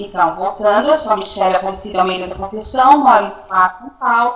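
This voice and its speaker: Amid noticeable background noise, a woman's voice swings widely in loudness. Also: medium pitch for a woman, ordinary pitch variation, fairly quick pace. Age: 40s. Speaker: education student. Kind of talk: class presentation. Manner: halting.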